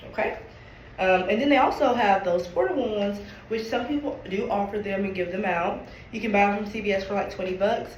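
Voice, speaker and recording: A woman talks at a fairly quick pace in a medium pitch with ordinary pitch variation, amid audible room echo and noticeable background noise. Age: 20s. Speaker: nurse. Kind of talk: presentation. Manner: halting.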